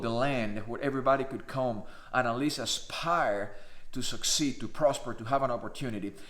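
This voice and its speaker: A man talks at a moderate pace in a Spanish accent. Audible room echo surrounds his voice. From Cuba. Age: 50s. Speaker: naturalized citizen vlogger. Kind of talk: personal monologue.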